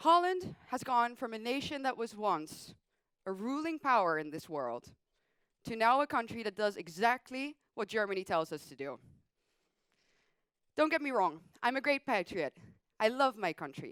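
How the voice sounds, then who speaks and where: A woman's fairly high voice at a moderate pace, with very wide pitch swings, big swings in loudness and long, frequent pauses, in a dry, close sound with no echo. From Netherlands. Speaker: political commentator. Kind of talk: speech.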